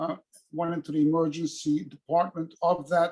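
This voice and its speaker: A man is speaking. His voice sits at a high pitch for a man. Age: 70s. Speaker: retired equipment repairman. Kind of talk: group discussion on video call. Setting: video call.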